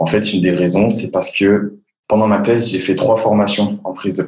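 A man with a normal speaking voice and a fairly low pitch talks with ordinary pitch variation. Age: 20s. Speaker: public speaking coach. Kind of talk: interview.

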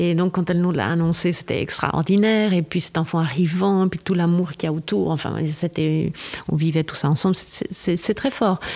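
A woman talks in a fairly low pitch. Noticeable background noise runs underneath. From Switzerland. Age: 50s. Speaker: actress. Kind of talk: casual chat.

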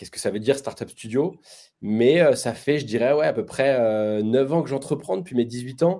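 A man speaks at a moderate pace in a medium pitch with ordinary pitch variation and a dark, mellow tone, his loudness swinging widely, on a very clean recording with a silent background. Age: 20s. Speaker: entrepreneur. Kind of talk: interview.

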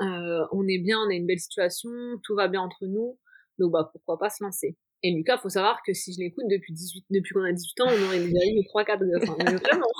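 At a moderate pace, a woman speaks with medium pitch. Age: 20s. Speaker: stay-at-home mother, footballer's wife. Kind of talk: personal testimony interview. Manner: animated.

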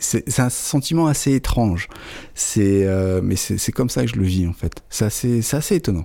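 Lively in intonation yet fairly slow in pace, a man speaks at a fairly low pitch with a dark, mellow tone. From northern France, Aisne near Belgian border. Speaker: wine shop owner. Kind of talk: interview.

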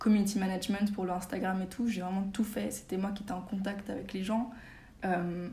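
Fairly quick, somewhat breathy speech in a flat monotone, with audible room echo. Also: woman, medium pitch for a woman. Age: 20s. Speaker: magazine founder. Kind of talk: casual interview.

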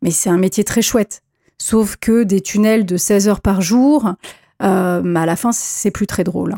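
At a fairly slow pace, a woman with a medium pitch and a dark, mellow tone speaks with ordinary pitch variation in a very clean recording with a silent background and a dry, close sound with no echo. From French provinces. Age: 40s. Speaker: podcast host and film director. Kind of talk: personal monologue.

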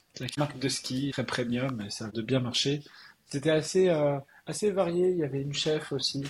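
Ordinary pitch variation and a moderate pace in a somewhat breathy delivery. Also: man, fairly high pitch for a man. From Alsace, France. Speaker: tech entrepreneur. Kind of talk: interview.

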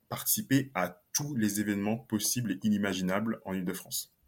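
Ordinary pitch variation accompanies a moderate speaking pace. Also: man. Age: 20s. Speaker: solopreneur and LinkedIn coach. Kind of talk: podcast interview.

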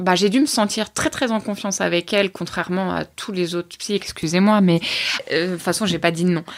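A woman's voice in a very clean recording with a silent background. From Normandy, Orne, rural. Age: 30s. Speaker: person living with OCD and depression. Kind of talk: testimony. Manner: halting.

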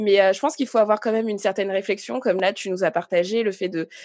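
A woman talks in a normal speaking voice at medium pitch. Her intonation stays fairly even. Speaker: podcast host. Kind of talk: casual interview.

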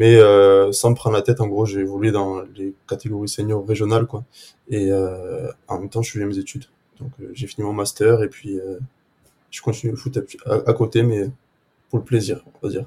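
In a very clean recording with a silent background, a man with a fairly low pitch and a dark, mellow, somewhat breathy tone speaks at a moderate pace with fairly even intonation, big swings in loudness, and long, frequent pauses. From southwest France, near Agen. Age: 20s. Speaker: amateur footballer. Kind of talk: casual interview. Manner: halting, many repetitions.

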